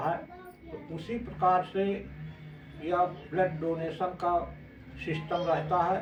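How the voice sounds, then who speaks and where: A man speaks at a high pitch in a flat monotone, with noticeable background noise and audible room echo. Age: 60s. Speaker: retired armed force member, blood donor. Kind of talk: testimony.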